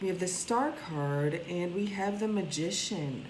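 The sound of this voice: A woman's fairly low-pitched voice, fairly slow and with ordinary pitch variation, in audible room echo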